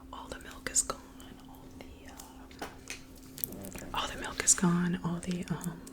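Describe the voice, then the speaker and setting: Whispering in an American accent at a fairly slow pace, a woman leaves long, frequent pauses, her loudness swinging widely over noticeable background noise. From US South (Georgia). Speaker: ASMR creator. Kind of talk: ASMR whispered chat. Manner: whispering, quiet; relaxed, laid-back.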